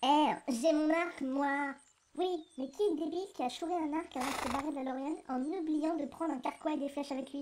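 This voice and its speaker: Using a shrill, put-on character voice, a woman talks at a fairly quick pace with high pitch and fairly even intonation. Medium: audio drama. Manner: bossy, mocking.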